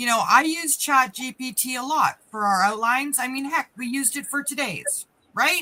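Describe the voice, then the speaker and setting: Her pitch sits high for a woman. She talks in a raised, projected voice. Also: ordinary pitch variation, moderate pace. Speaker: business coach, live stream co-host. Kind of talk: casual chat. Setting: live stream. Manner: off the cuff.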